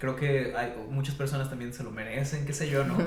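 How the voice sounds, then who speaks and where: A man speaks at a medium pitch with a Mexican accent. Noticeable background noise and audible room echo fill the recording. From Mexico, Veracruz (Xalapa). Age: 30s. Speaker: teacher of creative writing. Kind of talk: podcast interview. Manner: hesitant, many fillers.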